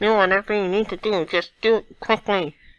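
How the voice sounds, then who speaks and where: A put-on character voice comes at a middle pitch and a fairly quick pace. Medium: solo performance. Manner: urgent, clipped.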